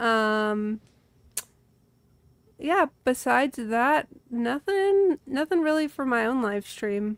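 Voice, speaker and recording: A woman with a Midwestern accent and a high pitch talks at a very slow pace with long, frequent pauses. Her intonation is lively, and the sound is dry and close with no echo. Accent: Midwest. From Illinois, US Midwest. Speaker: streamer guest. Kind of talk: casual chat.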